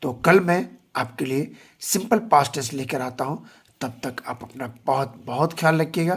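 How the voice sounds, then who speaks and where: The pace is very slow. A somewhat breathy tone comes through. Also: man. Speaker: English teacher. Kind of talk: tutorial.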